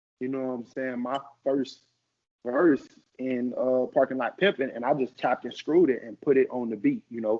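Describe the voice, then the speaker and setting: A man speaks in an American accent at a medium pitch and a moderate pace. His intonation stays fairly even while his loudness swings widely. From US South, Arkansas and St. Louis family. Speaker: rapper. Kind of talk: casual interview.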